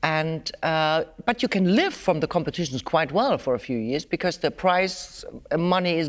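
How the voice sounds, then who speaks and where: A woman speaks in a normal speaking voice with a fairly low pitch, at a fairly slow pace. The recording is very clean, with a silent background. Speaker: violinist and teacher. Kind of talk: interview, conversational.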